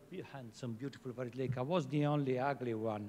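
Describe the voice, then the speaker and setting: A man speaks with an Italian accent. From Italy. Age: middle-aged. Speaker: head of a fashion sustainability program. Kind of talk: panel talk.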